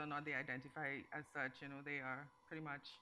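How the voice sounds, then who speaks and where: Fairly quick and monotone, a woman speaks at a very deep, low pitch in a bright, sharp tone with flat intonation. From Trinidad, Port of Spain (Morvant). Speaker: novelist. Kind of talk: panel interview at literary festival.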